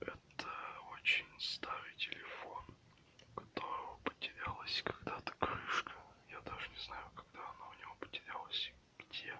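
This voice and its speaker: A man is whispering at a fairly slow pace, with big swings in loudness. Noticeable background noise can be heard. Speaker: ASMR creator. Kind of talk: ASMR video, casual talk to camera. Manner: whispered.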